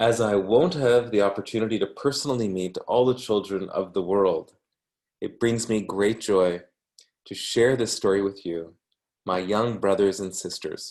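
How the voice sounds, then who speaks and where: A man with an ordinary speaking voice, a moderate pace and ordinary pitch variation. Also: fairly low pitch for a man. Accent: Canadian. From Canada. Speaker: academic reading a book for language learners. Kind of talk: reading aloud.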